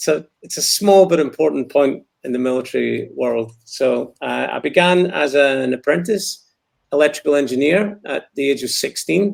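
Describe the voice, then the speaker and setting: Speaking in a Scottish accent, a man keeps a moderate pace. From Scotland. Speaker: war veteran. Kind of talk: interview.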